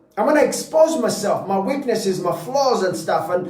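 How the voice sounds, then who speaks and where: An animated man's voice at a fairly quick pace with lively intonation, noticeable background noise and audible room echo. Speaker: motivational speaker. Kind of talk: motivational talk. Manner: stuttering at times.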